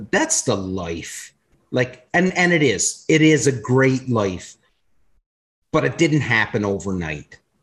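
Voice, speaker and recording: A man with a medium pitch speaks at a very slow pace, his voice swinging very widely in pitch and showing vocal fry. The recording is very clean, with a silent background. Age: 40s. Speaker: podcast host. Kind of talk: casual chat.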